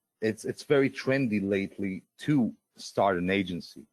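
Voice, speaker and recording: Captured dry and close with no echo, a man with a Russian accent speaks in a fairly low pitch with lively intonation. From Israel. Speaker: webinar presenter. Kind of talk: live sales webinar. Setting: live online webinar. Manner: halting, many filler sounds.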